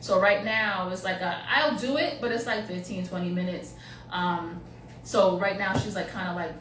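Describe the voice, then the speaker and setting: A woman talks at a medium pitch with ordinary pitch variation. Audible room echo and noticeable background noise fill the recording. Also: moderate pace. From Haitian-American family. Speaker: psychic medium. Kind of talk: casual chat.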